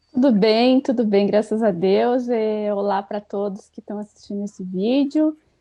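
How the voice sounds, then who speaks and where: A woman at a moderate pace. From Rio Grande do Sul, Brazil (Itaqui, Argentine border). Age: 30s. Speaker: writer. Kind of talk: casual interview chat.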